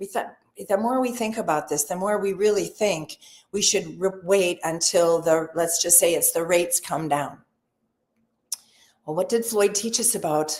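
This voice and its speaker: This woman has a fairly low-pitched voice with ordinary pitch variation. Her moderate pace is broken by long, frequent pauses. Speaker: real estate sales trainer. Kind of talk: webinar training session. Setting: live webinar. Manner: animated.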